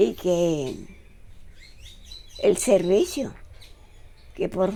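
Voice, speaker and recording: A woman speaks in a dark, mellow tone. Vocal fry shows in her voice. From Colombia, Simití, Bolívar (Caribbean region). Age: 80s+. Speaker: retired nurse. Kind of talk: oral history interview.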